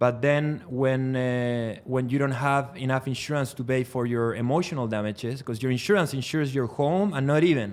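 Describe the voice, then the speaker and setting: With a Spanish accent, a man talks at a fairly quick pace, his medium pitch showing ordinary pitch variation. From Chile. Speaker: trial lawyer. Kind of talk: podcast interview.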